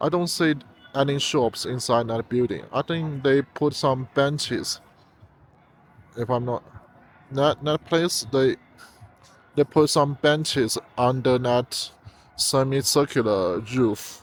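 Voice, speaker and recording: A man with a Chinese accent speaks at a very slow pace with long, frequent pauses. His pitch is medium with ordinary variation, and the sound is dry and close with no echo. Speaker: travel vlogger. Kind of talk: walking tour vlog. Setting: outdoors. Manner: halting, many fillers and repeats.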